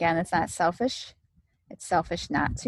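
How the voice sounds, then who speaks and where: Here a woman is talking. Her delivery keeps a moderate pace. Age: 40s. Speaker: podcast host, health and wellness doctor. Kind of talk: solo podcast monologue.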